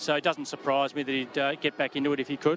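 A man speaks at a very fast pace. Noticeable background noise runs behind him. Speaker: football club executive. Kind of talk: interview. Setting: stadium.

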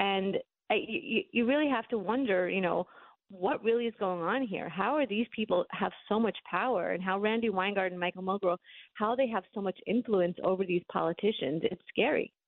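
A plain, everyday voice from a woman with an American accent, medium in pitch with ordinary pitch variation, at a moderate pace and very even loudness. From New York City (Brooklyn). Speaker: newspaper columnist. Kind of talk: interview.

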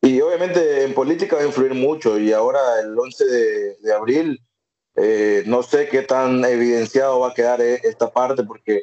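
A man's normal speaking voice at a medium pitch and moderate pace, with ordinary pitch variation and very even loudness. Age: 30s. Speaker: podcast co-host. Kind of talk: casual chat.

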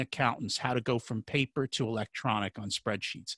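The voice has a bright, sharp tone and an American accent, moving at a moderate pace. The sound is dry and close with no echo, against a quiet background. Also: man. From United States. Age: 50s. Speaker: financial coach. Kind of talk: interview.

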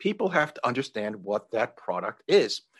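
A man with an unremarkable speaking voice and an American accent, medium pitch, lively intonation and a fairly slow pace, over a quiet background. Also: dry, close sound with no echo. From New York. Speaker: entrepreneur. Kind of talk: interview.

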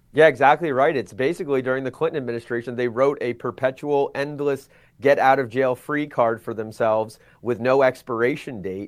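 A man with an unremarkable speaking voice talks at a fairly quick pace and medium pitch, with ordinary pitch variation. The recording is very clean, with a silent background. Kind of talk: political discussion.

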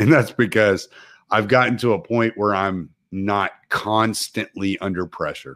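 In an unremarkable speaking voice, a man with an American accent talks at a fairly slow pace, fairly low in pitch with ordinary pitch variation, on a very clean recording with a silent background. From Texas. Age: 40s. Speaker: truck driver and military veteran. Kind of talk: casual chat.

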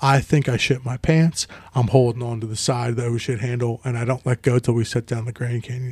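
A man's medium-pitched voice, flat and monotone, at a fairly quick pace, in a dry, close sound with no echo. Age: 40s. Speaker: podcast co-host. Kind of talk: casual chat.

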